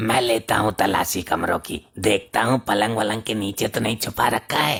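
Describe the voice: A man puts on a raspy, cartoonish character voice at medium pitch. He speaks at a moderate pace. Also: fairly even intonation.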